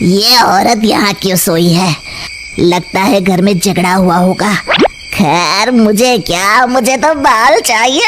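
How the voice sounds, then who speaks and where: A woman does a cartoonish character voice at medium pitch and a fairly slow pace, with clear background noise. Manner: cackling.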